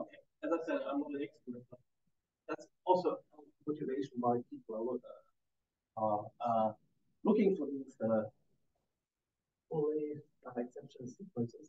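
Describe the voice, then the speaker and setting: With long, frequent pauses, a man talks at a moderate pace. His pitch variation is ordinary. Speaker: mathematician. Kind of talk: lecture. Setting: conference talk with audience. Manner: halting, many fillers.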